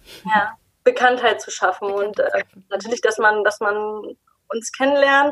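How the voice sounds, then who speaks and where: Long, frequent pauses interrupt the fairly slow delivery. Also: woman, fairly high pitch for a woman, fairly even intonation. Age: 30s. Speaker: skincare company founder. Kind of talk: interview.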